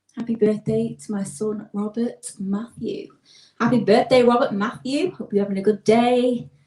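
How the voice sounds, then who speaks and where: With a Lancashire accent, a woman speaks at a moderate pace in a somewhat breathy, fairly high voice with ordinary pitch variation. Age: 20s. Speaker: singer. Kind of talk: casual chat. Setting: live stream.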